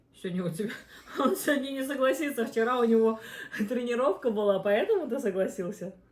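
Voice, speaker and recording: A woman speaks at a fairly quick pace with a fairly high pitch and lively intonation. Her speech has long, frequent pauses. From Uzbekistan. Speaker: mukbang host, mother. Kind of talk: casual chat while eating on a live stream.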